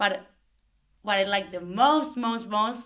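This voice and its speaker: A woman speaks in a Spanish accent at a moderate pace. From Argentina. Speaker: language assistant and textile designer. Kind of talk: group interview.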